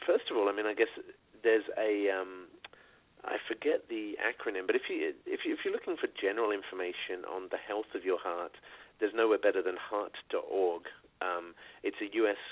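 A man with a British accent at a moderate pace. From Britain. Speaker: radio co-host. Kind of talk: casual chat. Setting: phone call.

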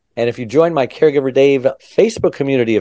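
Over a quiet background, a man with a dark, mellow tone moves along at a fairly quick pace. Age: 60s. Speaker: podcast host. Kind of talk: casual interview.

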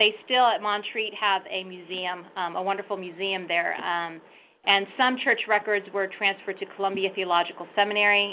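A woman speaks at medium pitch and a moderate pace, in a normal speaking voice. Her intonation stays fairly even. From Northern California, Sonoma County. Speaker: archive director and historian. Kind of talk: interview.

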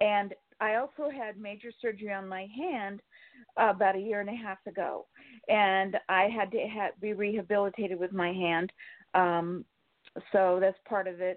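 A woman has an unremarkable speaking voice with an American accent at medium pitch. She keeps a moderate pace and fairly even intonation. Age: 60s. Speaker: caller. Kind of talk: casual chat.

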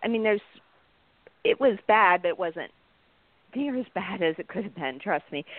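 A woman with a medium pitch talks at a moderate pace and lively intonation. She leaves long, frequent pauses. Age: 50s. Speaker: guest and fitness program user. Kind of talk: casual interview chat.

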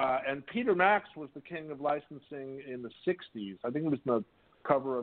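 A man talks at a moderate pace with ordinary pitch variation. He has an ordinary speaking voice. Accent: American. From US West Coast, Whittier, California. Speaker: artist and composer. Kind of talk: interview.

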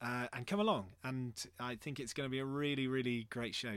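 A man speaks with a West Country accent at a fairly quick pace. The recording is very clean, with a silent background. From Bristol, England. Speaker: theatre artistic director. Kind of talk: casual interview.

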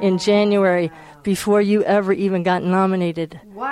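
A woman with an ordinary speaking voice talks at a moderate pace and medium pitch. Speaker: shofar dealer. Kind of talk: interview.

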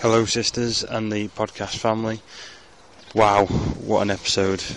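Over noticeable background noise, a man talks with monotone, flat intonation. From northern England (Ormskirk, Lancashire). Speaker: listener leaving voicemail. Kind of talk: voicemail message.

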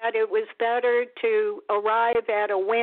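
This is a natural reading voice. It reads aloud naturally.

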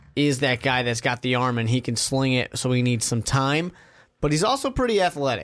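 The recording is very clean, its background silent. An unremarkable speaking voice goes at a fairly quick pace, its pitch varying in an ordinary way. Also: man. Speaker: podcast host. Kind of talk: casual chat.

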